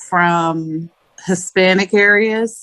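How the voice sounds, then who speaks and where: Here is a woman with an American accent and a medium pitch. She has a normal speaking voice and fairly even intonation. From Indiana, US Midwest. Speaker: podcast co-host. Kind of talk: casual chat.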